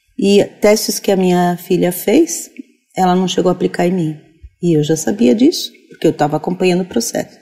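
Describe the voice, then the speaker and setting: Fairly low in pitch, a woman's voice carries a dark, mellow tone. She speaks at a moderate pace. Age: 50s. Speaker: teacher. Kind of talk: interview discussion.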